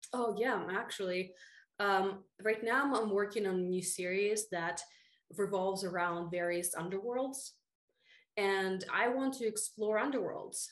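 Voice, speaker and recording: With a Russian accent, a woman speaks at a medium pitch, using ordinary pitch variation and very even loudness. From Russia, moved to the US at 13. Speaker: fantasy author. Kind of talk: casual interview.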